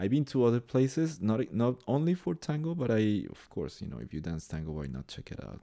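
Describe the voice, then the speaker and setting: Speaking with a Spanish accent and a dark, mellow tone, a man goes at a fairly quick pace with hardly any pauses, very wide pitch swings and big swings in loudness. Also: medium pitch for a man. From Colombia. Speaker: tango organizer and dancer. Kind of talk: casual interview chat.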